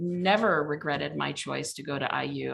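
With vocal fry and a US Midwestern accent, a woman speaks at a moderate pace. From Indiana (Mishawaka). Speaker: legal aid executive director. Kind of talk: casual interview.

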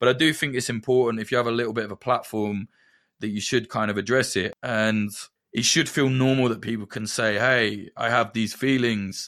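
A man with a slight Midlands accent talks at a fairly quick pace with fairly even intonation. The recording is very clean, with a silent background. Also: medium pitch for a man. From Northamptonshire, England. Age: 30s. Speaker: conflict journalist. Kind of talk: casual chat.

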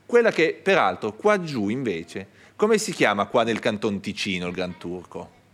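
A man's medium-pitched voice with very wide pitch swings, on a very clean recording with a silent background. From northern Italy (Piedmont Alps family). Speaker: archaeologist and museum director. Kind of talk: public talk interview before live audience. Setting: stage with audience. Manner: halting, many restarts.

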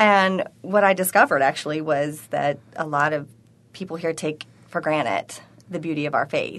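Speaking at a moderate pace with a Southern US accent, a woman has a very deep, low pitch and ordinary pitch variation. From Tennessee, US South. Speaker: conference organizer. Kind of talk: radio interview.

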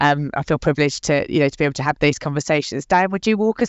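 A woman speaks at a very fast pace. Her pitch is very deep and low. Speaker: podcast host, recruitment consultant. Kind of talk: podcast interview.

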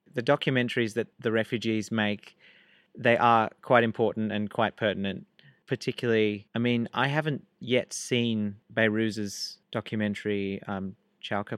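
A man with an Australian accent speaks in a fairly even intonation, his voice dry and close with no echo. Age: 20s. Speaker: student club president, refugee activist. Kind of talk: interview.

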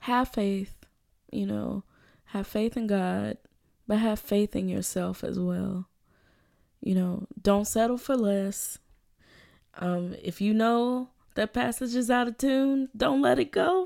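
In an American accent, the speaker talks at a very slow pace in a dark, mellow tone with long, frequent pauses, on a very clean recording with a silent background. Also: woman, medium pitch for a woman. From US South, Birmingham, Alabama. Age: 20s. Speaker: violinist, graduate student. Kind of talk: interview.

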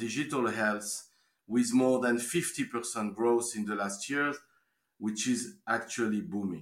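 With a French accent, the man speaks at a medium pitch in a bright, sharp tone with ordinary pitch variation, on a very clean recording with a silent background. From France. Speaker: life science investment banker. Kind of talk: interview.

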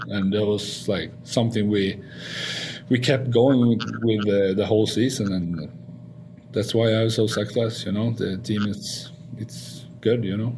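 A man with a Swedish accent, fairly low pitch, fairly even intonation and a fairly slow pace. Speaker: hockey player. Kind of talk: casual interview. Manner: halting.

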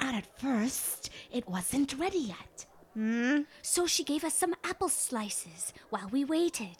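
Speaking at a fairly slow pace, a female-sounding voice puts on a high-pitched character voice. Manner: rambling, apologetic.

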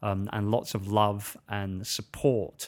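A man talks at a fairly low pitch on a very clean recording, silent background. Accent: British. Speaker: podcast host and author. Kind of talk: solo podcast monologue. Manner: informal, friendly, fillers.

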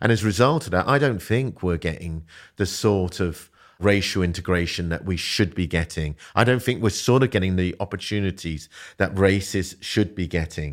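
A man with a London accent speaks in a very deep, low voice at a moderate pace. His pitch varies in an ordinary way, and the recording is very clean with a silent background. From South London. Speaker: business founder and CEO. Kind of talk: casual interview.

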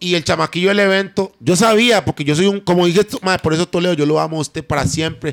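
A man's high-pitched voice at a very fast pace, with ordinary pitch variation and a dry, close sound with no echo. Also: very clean recording, silent background. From Costa Rica, Limón. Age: 20s. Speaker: singer. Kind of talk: casual chat.

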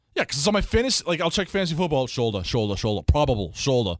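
A man at medium pitch with an American accent, very fast speech and very wide pitch swings, dry and close with no echo, in a very clean recording with a silent background. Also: hardly any pauses. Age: 30s. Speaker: sports podcast co-host. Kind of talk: casual chat.

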